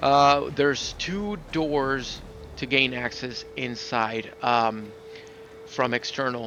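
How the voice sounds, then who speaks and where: A man at a very slow pace, medium pitch and ordinary pitch variation, over noticeable background noise. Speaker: gaming video creator. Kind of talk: gameplay commentary. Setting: at home.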